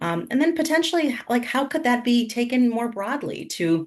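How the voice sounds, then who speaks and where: A woman's voice moves in very wide pitch swings over a quiet background. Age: 40s. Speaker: school network CEO. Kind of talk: interview. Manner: hesitant with frequent repetitions.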